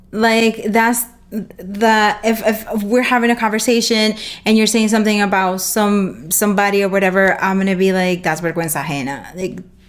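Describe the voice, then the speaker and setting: A woman speaks with a Spanish accent at a medium pitch. Her pace is moderate and her pitch variation ordinary. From Dominican Republic. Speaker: photographer and streaming show host. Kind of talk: casual interview chat.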